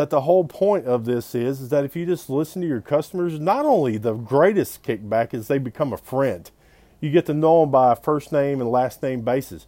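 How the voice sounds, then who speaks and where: A man with a Southern US accent, a dark, mellow tone, lively intonation and a fairly quick pace. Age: 40s. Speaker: pawn shop owner. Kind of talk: casual video monologue. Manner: animated.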